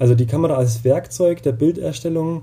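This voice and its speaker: A medium-pitched man with ordinary pitch variation, amid noticeable background noise. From Bavaria (Upper Palatinate). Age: 30s. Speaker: doctoral researcher in photography education. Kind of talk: interview. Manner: hesitant, many fillers.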